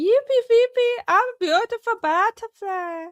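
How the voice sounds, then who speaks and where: A put-on character voice in a German accent rises to an extremely high pitch. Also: moderate pace. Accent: German, exaggerated. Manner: silly, sing-song.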